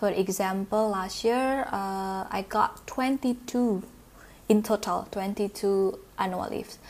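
With an Indonesian accent, a woman speaks very slowly at a medium pitch with fairly even intonation. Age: 20s. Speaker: office worker. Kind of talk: interview. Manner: hesitant with many fillers.

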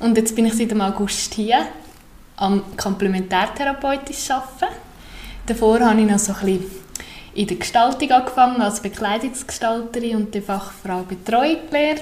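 A woman speaks at a moderate pace in a fairly high pitch with ordinary pitch variation, and noticeable background noise is present. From Central Switzerland (Obwalden). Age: 30s. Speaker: complementary therapist. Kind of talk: podcast interview. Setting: newly renovated room, not a studio.

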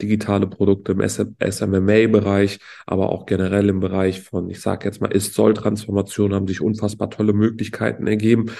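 Speaking at a fairly quick pace with hardly any pauses, a man uses a fairly low, dark, mellow voice with vocal fry and monotone, flat intonation. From Berlin, Germany. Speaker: entrepreneur podcast co-host. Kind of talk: casual chat.

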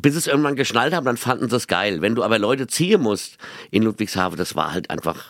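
Using lively intonation, a man with a Mainz accent talks at a fairly quick pace. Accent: Mainz dialect, noticeable. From Mainz, Rhine-Hesse. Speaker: comedian, radio host and singer. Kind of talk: casual chat. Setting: rehearsal room. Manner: very fast; animated.

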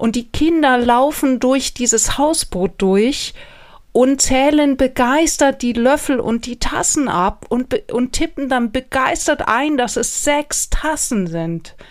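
Lively intonation carries speech at a very slow pace, captured on a very clean recording with a silent background. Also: woman, high pitch for a woman. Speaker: podcast host, holiday rental expert. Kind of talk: solo podcast talk. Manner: casual, chatty.

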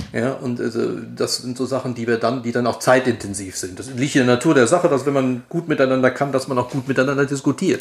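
The voice moves at a very fast pace with fairly even intonation. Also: man, medium pitch for a man. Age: 60s. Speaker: advertising agency managing director. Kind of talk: interview. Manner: hesitant, repeats words.

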